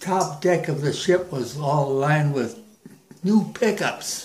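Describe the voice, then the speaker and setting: Against audible room echo, a man speaks with a fairly high pitch and ordinary pitch variation. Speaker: war veteran. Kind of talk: casual chat. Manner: halting.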